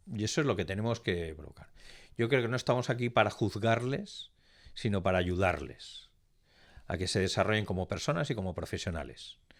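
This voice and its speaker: A man speaks at a moderate pace in a fairly low pitch with lively intonation. The recording is very clean, with a silent background. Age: 60s. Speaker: business executive, pharmacist by training. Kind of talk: interview.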